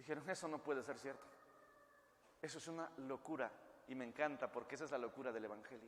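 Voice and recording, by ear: Speaking at a fast pace, a man keeps a medium pitch and fairly even intonation.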